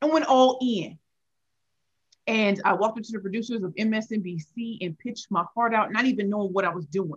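A woman with an American accent, fairly high pitch, a somewhat breathy, animated tone, ordinary pitch variation and a moderate pace. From St. Louis, Missouri (inner city). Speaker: pitch coach and author. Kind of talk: interview.

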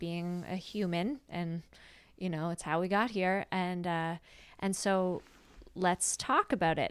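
A woman speaks in a plain, everyday voice. Her intonation stays fairly even. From Prince Edward Island, Canada. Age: 30s. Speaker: actor and podcast co-host. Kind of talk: casual interview chat. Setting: remote call from home.

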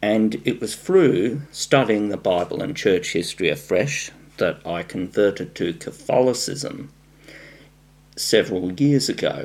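A man's medium-pitched voice in an Australian accent, fairly slow, with very wide pitch swings. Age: 40s. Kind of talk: formal debate.

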